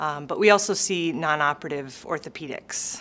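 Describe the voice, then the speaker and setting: Over light background noise, a woman talks in a very deep, low pitch. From Minnesota. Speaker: sports medicine physician. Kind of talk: interview answer. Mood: warm, friendly. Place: office.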